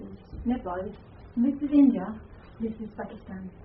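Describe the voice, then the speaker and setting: A woman talks at a fairly high pitch with ordinary pitch variation. Noticeable background noise and audible room echo surround her. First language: not English. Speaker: Buddhist nun and lecturer. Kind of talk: lecture. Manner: halting.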